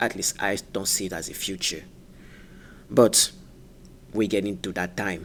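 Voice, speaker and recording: Here a man speaks with a fairly low pitch. His pace is fairly slow. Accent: French. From France. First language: French. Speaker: gaming YouTuber. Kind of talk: casual video commentary. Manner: halting, many fillers.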